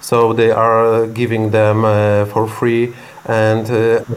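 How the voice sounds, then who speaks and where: With a Polish accent, the speaker goes at a very slow pace in a monotone, flat delivery, with noticeable background noise behind. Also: man. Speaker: medical center executive. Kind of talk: interview. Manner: halting.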